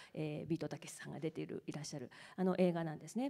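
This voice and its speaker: A woman talks in a very deep, low pitch with a dark, mellow tone and vocal fry. The background is quiet. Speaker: professor. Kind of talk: moderated onstage talk. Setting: stage with audience. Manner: formal. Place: hall. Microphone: handheld.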